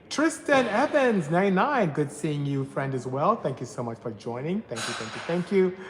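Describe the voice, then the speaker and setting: Someone with a Nigerian accent speaks at a fairly quick pace over noticeable background noise. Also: man. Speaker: automotive engineer and tuning shop owner. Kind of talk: live stream Q&A with chat. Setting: workshop during live stream.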